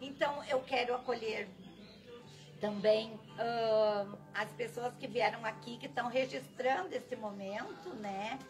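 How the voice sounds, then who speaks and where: With clear music in the background, a woman speaks at a very slow pace. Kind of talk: inauguration speech. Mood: grateful, emotional. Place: street. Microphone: camera far.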